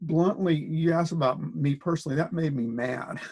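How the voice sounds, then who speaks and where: Here a man with an American accent speaks at a fairly high pitch, somewhat breathy. His intonation stays fairly even. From US Midwest, Springfield, Illinois. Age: 60s. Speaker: political organizer and researcher. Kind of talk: interview. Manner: halting, many fillers.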